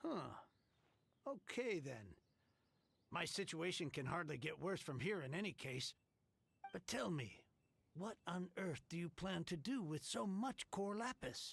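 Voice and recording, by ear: A woman puts on a character voice with fairly low pitch, big pitch swings, vocal fry and a slightly husky edge. She goes at a fairly slow pace with long, frequent pauses.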